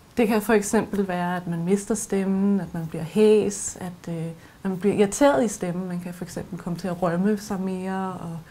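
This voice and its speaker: This woman speaks at a moderate pace with a dark, mellow tone, medium pitch, fairly even intonation, a somewhat breathy quality and big swings in loudness. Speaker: voice and speech trainer. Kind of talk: expert explanation.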